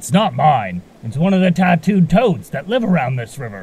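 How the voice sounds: A man puts on a character voice of fairly high pitch with big pitch swings, a slightly mellow tone, a slightly husky edge and vocal fry, at a moderate pace.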